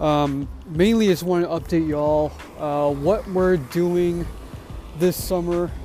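Noticeable background noise sits behind a man with an American accent. His pitch is high, and his intonation is fairly even. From US West Coast, San Francisco Bay Area (Hayward). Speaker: podcast host. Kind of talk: casual solo monologue. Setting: outdoors walking dog. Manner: casual, halting with many fillers.

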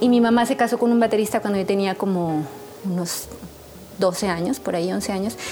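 Background music plays throughout. The talking is fairly quick, and the pitch varies in an ordinary way. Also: woman, medium pitch for a woman. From Mexico, San Luis Potosí. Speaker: jazz drummer and singer. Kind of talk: interview.

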